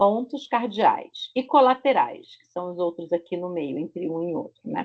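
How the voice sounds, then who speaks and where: A woman speaks with a Rio de Janeiro accent at a fairly slow pace and a medium pitch. Her pitch swings very widely, and her loudness shifts in big swings. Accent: Rio de Janeiro (carioca) Brazilian Portuguese. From Brazil, Rio de Janeiro. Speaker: Portuguese language teacher. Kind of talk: online language lesson. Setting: video call. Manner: slow, clear didactic pronunciation.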